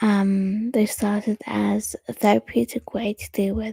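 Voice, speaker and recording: Very slow, soft-spoken delivery. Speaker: poet and storyteller. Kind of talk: casual chat. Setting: at home.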